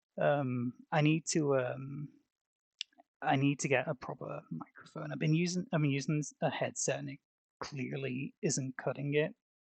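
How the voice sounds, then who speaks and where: The speech, soft-spoken, goes at a moderate speed. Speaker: streamer. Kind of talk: casual live stream chat. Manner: halting. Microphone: headset mic cutting out.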